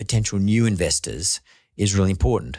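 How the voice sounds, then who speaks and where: A man with a fairly low voice and an Australian accent speaks at a moderate pace. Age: 60s. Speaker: podcast host and investor. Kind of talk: casual interview.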